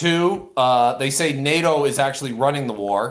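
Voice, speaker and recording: A man speaks in an unremarkable speaking voice. His pitch is medium. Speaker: caller. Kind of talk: casual chat.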